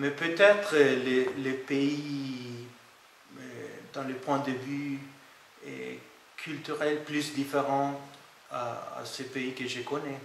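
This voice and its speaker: Over noticeable background noise and audible room echo, a man with a non-native accent speaks at a very slow pace with long, frequent pauses, his fairly high pitch held in fairly even intonation. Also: big swings in loudness. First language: not French (speaking French). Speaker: IT project manager. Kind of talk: interview testimony. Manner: halting, many hesitations.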